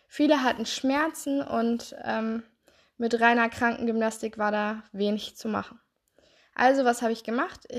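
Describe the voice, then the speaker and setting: Against a quiet background, a woman with a plain, everyday voice speaks at a fairly high pitch with fairly even intonation. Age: 20s. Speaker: health coach and therapist podcaster. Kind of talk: solo podcast monologue.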